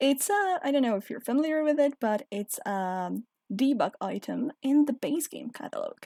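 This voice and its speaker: A woman with a non-native accent, high pitch, very wide pitch swings, dark, mellow tone, moderate pace, and a dry, close sound with no echo. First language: not English. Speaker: game video creator. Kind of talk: casual commentary over gameplay. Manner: hesitant, searching for words.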